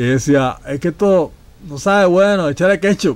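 A man's fairly slow delivery, his pitch varying in an ordinary way. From Puerto Rico, Ponce. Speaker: podcast host. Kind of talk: casual chat.

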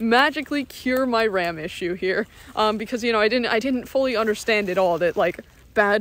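The pace is fairly quick. The sound is dry, with no echo. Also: woman. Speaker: vlogger. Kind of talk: casual vlog chat. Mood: relaxed, lightly amused. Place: forest. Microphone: phone near.

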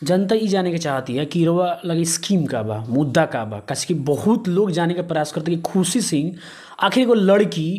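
A man's high-pitched voice at a moderate pace, with lively intonation and a quiet background. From Bihar, India. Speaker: local news reporter. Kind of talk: interview. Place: home room. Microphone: handheld.

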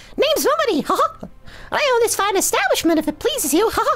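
A put-on character voice at an extremely high pitch races along at a very fast pace with very wide pitch swings, clear music playing in the background. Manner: cheerful.

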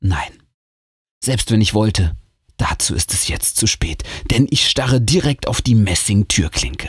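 With vocal fry and fairly low pitch, a man speaks in lively intonation broken by long, frequent pauses. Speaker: audiobook reader. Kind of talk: reading aloud a ghost story; hushed, suspenseful scary-story narration. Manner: slow, whispery and tense, building suspense.

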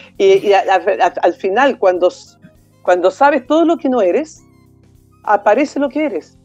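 Faint music plays in the background as a woman talks with lively intonation. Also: slightly mellow tone.

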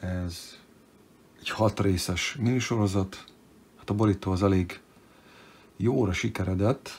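A man's fairly low, somewhat breathy voice, fairly slow with fairly even intonation and long, frequent pauses. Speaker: comic book collector youtuber. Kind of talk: unboxing show-and-tell. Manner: casual, hesitant with fillers; brisk.

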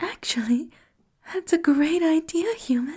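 Someone whispers softly against a quiet background. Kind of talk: character roleplay monologue addressing listener. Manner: soft, flirty whispered roleplay voice.

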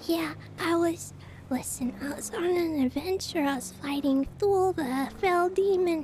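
Against clear background noise, a woman with an extremely high pitch speaks at a fairly slow pace. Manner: earnest, chatty.

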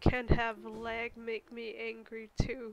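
A woman speaks with a fairly high pitch. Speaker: gaming youtuber. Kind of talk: let's play commentary. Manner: casual, rambling. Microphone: mic distortion from handling.

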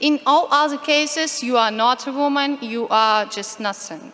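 A woman's raised, projected voice in a Ukrainian accent, high in pitch, with lively intonation and a fairly slow pace. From Ukraine. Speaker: activist speaker on LGBT rights. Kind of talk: conference talk. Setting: conference stage with audience, interpreter. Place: hall. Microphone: podium.

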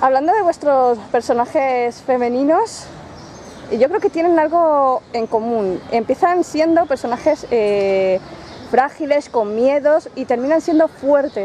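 A woman's high-pitched, very slow speech with lively intonation against noticeable background noise. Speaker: book interviewer. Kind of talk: casual interview. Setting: book fair.

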